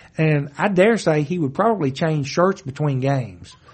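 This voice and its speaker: A man speaks at a fairly high pitch with lively intonation. His voice is somewhat breathy. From western Kentucky, Marshall County. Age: 50s. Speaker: circuit court judge. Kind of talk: casual interview.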